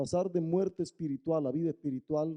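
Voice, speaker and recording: With a dark, mellow tone, a man speaks at a moderate pace in a dry, close sound with no echo. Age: 60s. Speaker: pastor. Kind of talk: sermon.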